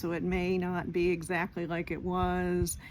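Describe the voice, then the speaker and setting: Audible room echo surrounds a woman as she speaks. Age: 60s. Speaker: retired vlogger. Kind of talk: casual talking-head vlog. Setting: outdoors at home, porch and yard. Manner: halting, with filler words.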